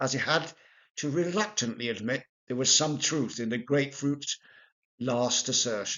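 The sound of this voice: An unforced reading voice sounds out while the background remains quiet.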